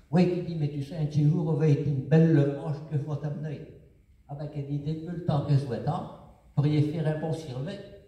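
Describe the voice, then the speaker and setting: A man's fairly high voice at a moderate pace. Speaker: storyteller in regional dialect. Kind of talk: comic folk tale told on stage. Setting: live stage performance.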